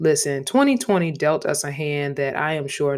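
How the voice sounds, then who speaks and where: A woman with an American accent speaks at a moderate pace in a very deep, low pitch and fairly even intonation. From US South, Savannah, Georgia. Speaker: podcast host, medical student. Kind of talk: solo podcast monologue.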